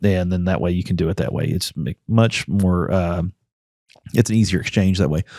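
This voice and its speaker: Very fast speech comes from a man with a very deep, low pitch and a dark, mellow tone. His pitch variation is ordinary, and the recording is very clean with a silent background. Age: 40s. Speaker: congressional candidate, former oil field worker. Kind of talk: casual podcast interview. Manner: conversational, many fillers.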